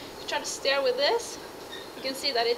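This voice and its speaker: With a Norwegian accent, a woman speaks in a high pitch with very wide pitch swings, amid noticeable background noise. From Norway. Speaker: horse rider. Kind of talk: casual talk to camera, tack review. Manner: rising intonation, sounds like asking questions.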